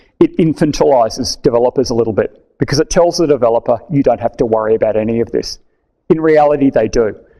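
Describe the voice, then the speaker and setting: Against a quiet background, a man with an Australian accent talks at a fairly quick pace. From Australia, Melbourne. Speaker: tech conference speaker; conference speaker. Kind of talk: technical talk. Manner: casual, conversational. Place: meeting room.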